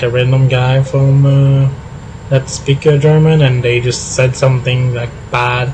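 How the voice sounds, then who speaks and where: A man with a Quebec accent speaks in a monotone, flat intonation. There is noticeable background noise. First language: French. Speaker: gaming streamer. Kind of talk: casual live stream chat. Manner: halting, many fillers.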